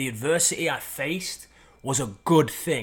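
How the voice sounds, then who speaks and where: A man with an energetic tone, moderate pace, and ordinary pitch variation, in a very clean recording with a silent background. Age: 30s. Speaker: podcast host and performance coach. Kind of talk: motivational monologue.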